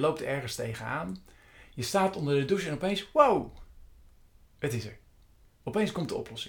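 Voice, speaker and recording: This man's voice has a fairly high pitch with vocal fry. His intonation is lively. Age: 50s. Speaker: meditation coach. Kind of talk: monologue. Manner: halting.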